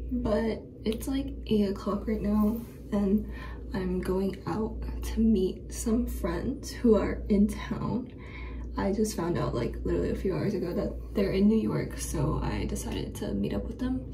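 A woman talks fairly slowly while noticeable background noise carries on behind her. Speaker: student vlogger. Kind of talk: casual vlog chat. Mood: relaxed, chatty. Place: bathroom. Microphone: phone near.

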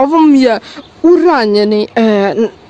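Recorded dry with no echo, a woman talks over light background noise. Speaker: vlogger. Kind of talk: casual vlog chat. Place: street. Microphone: phone near.

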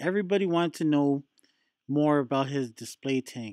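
Against a quiet background, a man talks at a moderate pace with ordinary pitch variation in a dry sound with no echo. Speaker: reef hobby channel host. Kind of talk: casual vlog chat. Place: shop. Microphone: phone near.

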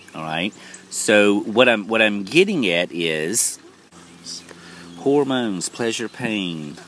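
The speech goes at a very slow pace with lively intonation, recorded dry with no echo and light background noise. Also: man. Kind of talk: informal spiritual lecture. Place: garden. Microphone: phone near.

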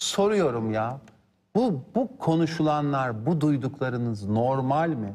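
Lively intonation at a very slow pace, set against a quiet background. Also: man, fairly high pitch for a man. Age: 50s. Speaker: lawyer and politician; lawyer, politician. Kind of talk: TV political interview. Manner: animated. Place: studio. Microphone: lapel.

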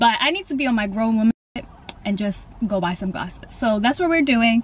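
With lively intonation, a woman talks at a fairly quick pace over light background noise, the sound dry with no echo. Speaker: vlogger. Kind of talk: casual vlog chat.

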